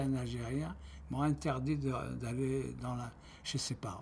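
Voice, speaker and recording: A man talks at a very slow pace. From Algeria. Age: 70s. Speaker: retiree giving testimony. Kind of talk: testimony. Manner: halting.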